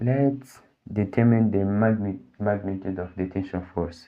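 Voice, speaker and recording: A man speaks at a fairly slow pace with a fairly low pitch. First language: Portuguese. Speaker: physics tutor. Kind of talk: tutorial. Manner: halting, with many fillers.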